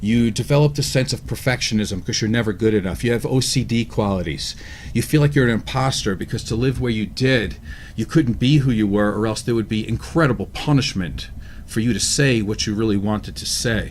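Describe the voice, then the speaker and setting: A man with an ordinary speaking voice, medium in pitch, at a fairly quick pace. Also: ordinary pitch variation. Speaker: talk show co-host. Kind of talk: casual discussion.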